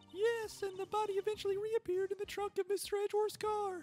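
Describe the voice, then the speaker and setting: An anxious-toned woman with an extremely high pitch, monotone, flat intonation and a very fast pace, music in the background. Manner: anxious, questioning.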